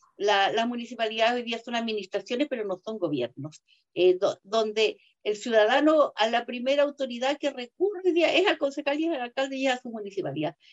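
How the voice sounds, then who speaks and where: In a dry, close recording with no echo, a woman with a high-pitched voice speaks at a fairly quick pace with lively intonation. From southern Chile, Osorno. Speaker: lawyer and constitutional convention delegate. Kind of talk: interview.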